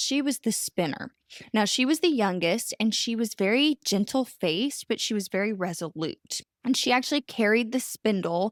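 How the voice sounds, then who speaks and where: On a very clean recording with a silent background and a dry, close sound with no echo, a woman with an Oklahoma accent speaks at a fairly slow pace, pitched fairly high, with lively intonation. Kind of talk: storytelling, explanatory.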